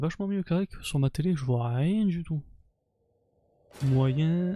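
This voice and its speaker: Soft-spoken, a man talks at a very slow pace in a dark, mellow tone. His pitch shows ordinary variation. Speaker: video game streamer. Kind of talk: casual gameplay commentary. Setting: live stream. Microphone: mic set to cut background noise, quiet when low.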